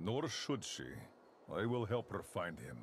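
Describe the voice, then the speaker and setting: A man speaks in a put-on character voice at a medium pitch. Background noise is clearly audible. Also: moderate pace. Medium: video game. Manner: formal, measured.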